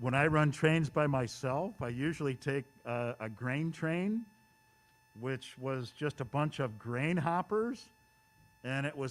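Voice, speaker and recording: With lively intonation and a fairly high pitch, a man in an American accent talks over noticeable background noise. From US Midwest, Chicago suburbs. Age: 60s. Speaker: model railroader, clinic presenter. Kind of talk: presentation to hobby club. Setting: event hall with live audience and Zoom stream.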